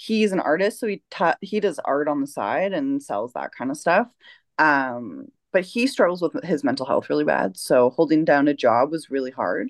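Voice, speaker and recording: With a Canadian accent, a woman speaks at a very deep, low pitch with vocal fry and very wide pitch swings, at a moderate pace over a quiet background. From Canada. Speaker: sex worker and online content creator. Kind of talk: casual interview.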